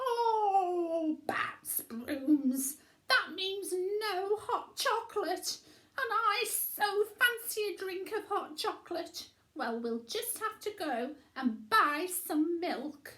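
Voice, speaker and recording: Putting on a character voice, a woman speaks at an extremely high pitch and a very slow pace. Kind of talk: bedtime story character voice. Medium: read story. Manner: expressive, exclamatory.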